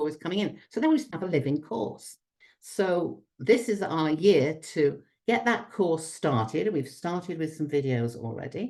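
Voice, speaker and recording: In a British accent, a woman with a very deep, low pitch and a dark, mellow tone speaks with very wide pitch swings. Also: moderate pace. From Britain. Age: 70s. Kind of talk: conference talk.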